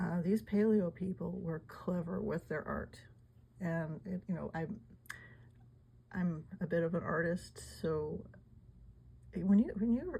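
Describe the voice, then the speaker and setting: A woman mumbling at a fairly slow pace. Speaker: amateur artifact collector. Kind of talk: casual talk to camera. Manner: mumbling, hesitant.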